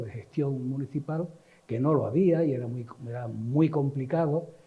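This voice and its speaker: Audible room echo surrounds a man speaking at a fairly slow pace in a somewhat breathy voice with ordinary pitch variation. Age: 70s. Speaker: cultural manager and activist. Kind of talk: talk / reminiscence lecture. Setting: literary society event with audience. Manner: halting, with many fillers.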